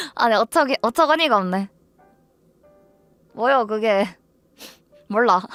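Music plays in the background as a woman talks at a fairly high pitch and a fairly slow pace with lively intonation. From Ansan, Gyeonggi Province, South Korea. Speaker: live streamer. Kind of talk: casual livestream talk to viewers.

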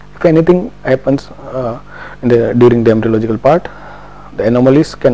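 A man at a medium pitch with ordinary pitch variation, a very fast pace and noticeable background noise. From India, Gujarat. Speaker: doctor. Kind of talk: lecture.

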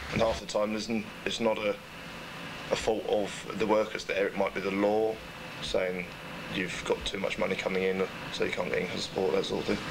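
The speech comes with long, frequent pauses over noticeable background noise. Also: man. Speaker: benefits office worker. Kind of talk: documentary interview. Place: shop.

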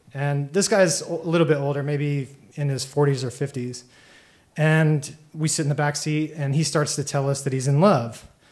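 Somewhat breathy, a man with a fairly high pitch talks at a moderate pace with fairly even intonation. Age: 30s. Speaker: storyteller. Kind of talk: live storytelling. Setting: stage with audience. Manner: casual, halting with fillers. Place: stage. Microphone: handheld.

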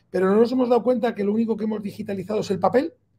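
Over light background noise, a dark, mellow tone carries a fairly even intonation. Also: man. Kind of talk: interview answer. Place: office. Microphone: video call.

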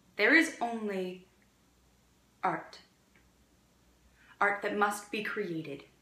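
Speaking very slowly in a room with audible echo, a woman leaves long, frequent pauses while her loudness swings widely. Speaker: actor performing monologue. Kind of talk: dramatic monologue. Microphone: phone near.

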